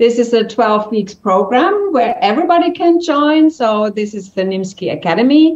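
In a room with audible echo, a woman with a fairly high pitch talks at a moderate pace with hardly any pauses, her pitch swinging very widely. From Germany. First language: German. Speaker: entrepreneur; interview guest. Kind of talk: interview. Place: home room. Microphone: video call.

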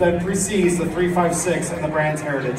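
A man talks at a very fast pace. Noticeable background noise is present. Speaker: auctioneer. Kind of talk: auction lot introduction, formal presentation. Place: hall.

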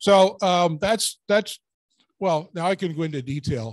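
A man's high-pitched voice with lively intonation, at a fairly slow pace.

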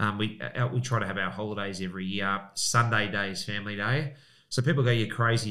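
Against a quiet background, a man with an Australian accent talks at a very fast pace, fairly low in pitch with ordinary pitch variation and a bright, sharp tone. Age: 40s. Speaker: real estate agent and auctioneer; auctioneer. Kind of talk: casual chat. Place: studio. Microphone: studio mic.

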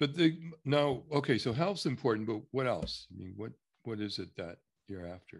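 Over a quiet background, a man talks at a moderate pace with big swings in loudness and very wide pitch swings. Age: 70s. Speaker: structural consultant. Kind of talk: one-on-one consultation session. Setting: recorded video call. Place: home room. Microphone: video call.

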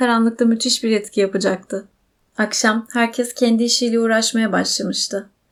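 Against a quiet background, a natural reading voice keeps to fairly even intonation.

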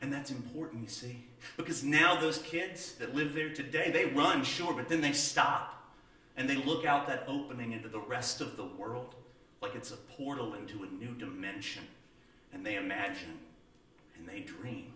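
With audible room echo, a man in an American accent speaks at a moderate pace and fairly high pitch, with lively intonation and big swings in loudness. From Southern United States. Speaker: storyteller. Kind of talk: tall-tale storytelling to an audience. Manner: folksy, humorous, conversational. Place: stage.

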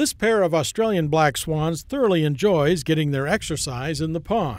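A man's fairly high voice with lively intonation at a moderate pace

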